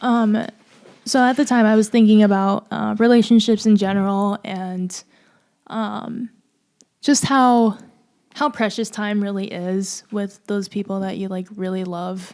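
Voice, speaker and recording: On a very clean recording with a silent background, a soft-spoken woman talks at a medium pitch. Her pace is fairly slow and her intonation fairly even. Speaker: singer-songwriter. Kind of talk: casual chat. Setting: live stream.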